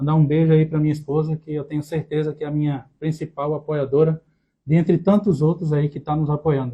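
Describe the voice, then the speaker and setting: A man's fairly high-pitched, somewhat breathy voice, dark and mellow in tone, monotone and flat, at a fairly quick pace. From Brazil, Recife, Pernambuco. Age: 30s. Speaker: podcast co-host, accounting student. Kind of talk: casual chat.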